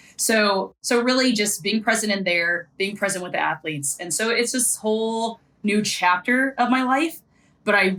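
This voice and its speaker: This woman has a medium pitch and ordinary pitch variation. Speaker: sideline reporter and former athlete. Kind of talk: podcast interview. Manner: fast.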